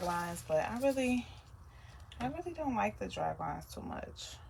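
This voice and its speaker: This soft-spoken woman talks at a fairly quick pace. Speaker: soap maker and small business owner. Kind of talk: tutorial.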